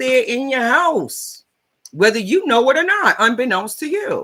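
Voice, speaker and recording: This woman projects a raised voice, high and bright with a sharp tone. She sounds animated and keeps a moderate pace. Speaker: life coach and advocate. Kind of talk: livestream monologue. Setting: live stream on social platforms. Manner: loud.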